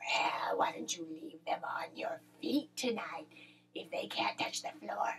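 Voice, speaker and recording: Whispering in a put-on character voice, a woman speaks at a fairly slow pace. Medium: read story. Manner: gruff, grumbling.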